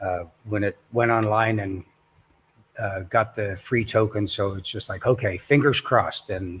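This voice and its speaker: A man's somewhat breathy, fairly low voice, fairly slow in pace, with ordinary pitch variation. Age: 60s. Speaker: construction worker and crypto investor. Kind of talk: casual chat. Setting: livestream. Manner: halting.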